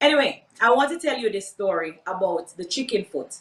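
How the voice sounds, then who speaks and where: A woman speaks with a Jamaican accent at a moderate pace, her voice fairly high and bright, with a sharp tone. Her pitch swings very widely. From Jamaica, Portmore. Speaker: entrepreneur, workshop speaker. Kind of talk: workshop talk, personal story.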